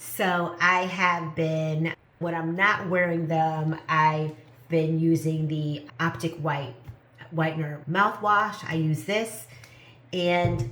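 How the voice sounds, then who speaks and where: Noticeable background noise sits behind a woman with a fairly low pitch. She talks at a very slow pace with fairly even intonation. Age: 50s. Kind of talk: casual talk to camera.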